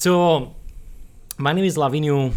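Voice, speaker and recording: A man speaks with a Romanian accent and ordinary pitch variation. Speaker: ordained minister and podcast co-host. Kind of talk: casual interview.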